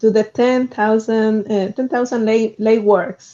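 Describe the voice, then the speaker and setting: The speech comes at a fairly slow pace with a strong non-native accent. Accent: strong foreign. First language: not English. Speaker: roboticist, researcher. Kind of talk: panel discussion.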